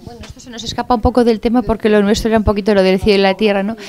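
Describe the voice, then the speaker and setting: A woman with a medium pitch and fairly even intonation. Hers is an ordinary speaking voice. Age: 40s. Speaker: panelist at a religion forum. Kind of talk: public forum discussion.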